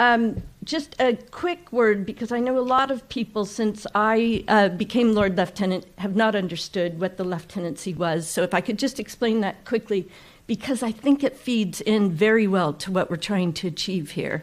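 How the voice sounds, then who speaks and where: In a Californian accent, a woman speaks at a medium pitch and a moderate pace with ordinary pitch variation. She barely pauses on a very clean recording with a silent background. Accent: Californian American. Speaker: ceremonial county official. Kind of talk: public speech. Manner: brief, conversational.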